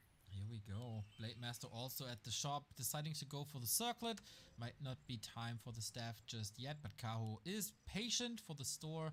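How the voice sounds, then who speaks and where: A man with a non-native accent, medium pitch, ordinary pitch variation, and a moderate pace. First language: not English. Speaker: esports caster. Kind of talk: live commentary.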